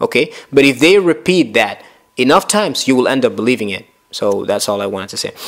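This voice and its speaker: A man with a Spanish accent, very wide pitch swings and a very fast pace. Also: medium pitch for a man. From Africa. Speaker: islamic preacher. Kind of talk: casual chat.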